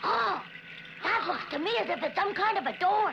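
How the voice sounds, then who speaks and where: An extremely high, cartoonish character voice at moderate pace, with clear background noise. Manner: anxious.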